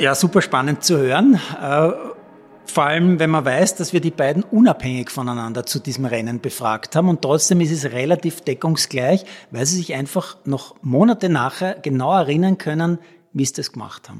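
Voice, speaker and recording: A man with a normal speaking voice talks at a moderate pace, fairly high in pitch, with lively intonation. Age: 50s. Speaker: sports reporter and podcast host. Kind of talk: storytelling podcast narration.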